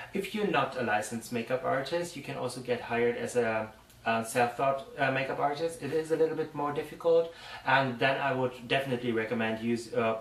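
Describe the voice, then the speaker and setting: A man with a German accent speaks at a medium pitch with ordinary pitch variation. His pace is fairly quick, and there is noticeable background noise. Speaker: makeup artist. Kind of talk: tutorial. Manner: halting.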